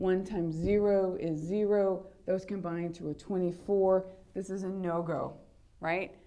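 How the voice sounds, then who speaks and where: A woman speaks at a fairly slow pace with a dark, mellow tone. Her intonation is fairly even, and audible room echo surrounds her voice. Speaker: high school math teacher. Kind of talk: lecture.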